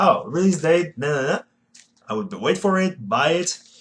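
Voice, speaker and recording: A man with a fairly high pitch speaks with a Quebec accent. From Quebec City, Canada. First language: French. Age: 20s. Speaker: retro gaming YouTuber. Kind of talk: casual vlog monologue. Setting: bedroom. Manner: halting.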